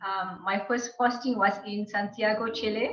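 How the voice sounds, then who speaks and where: A woman with a fairly high voice talks in a flat monotone, and the room echo is audible. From Malaysia (Kuching, Sarawak, Borneo). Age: 40s. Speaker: diplomat. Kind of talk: interview. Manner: formal.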